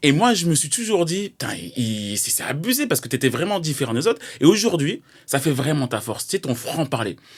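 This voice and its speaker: Talking at a fairly quick pace, a man's voice swings very widely in pitch. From Paris. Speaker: podcast host, former basketball player. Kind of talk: interview.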